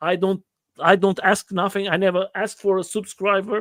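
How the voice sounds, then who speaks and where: The sound is dry and close with no echo as a man with a non-native accent speaks at a high pitch. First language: not English. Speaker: livestream host interviewing riders. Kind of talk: casual livestream interview. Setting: livestream. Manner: halting, many repetitions.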